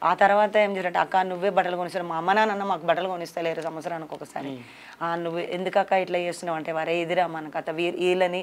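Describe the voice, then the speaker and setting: With a Telangana accent, a woman speaks at a fairly low pitch. Her intonation is monotone and flat. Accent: Telangana Telugu. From Telangana, Nalgonda district. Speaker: former Maoist; interviewee. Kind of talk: interview testimony. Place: studio. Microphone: lapel.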